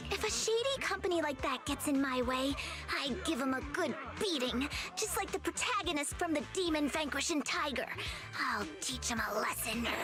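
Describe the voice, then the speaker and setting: Over loud music in the background, a woman puts on a growling character voice with a high pitch at a moderate pace. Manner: threatening.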